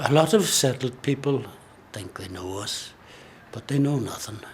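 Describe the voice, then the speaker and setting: Whispering in an Irish accent at a fairly slow pace, the speaker is heard over noticeable background noise. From Ireland. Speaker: Irish traveller sharing experience. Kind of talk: testimony.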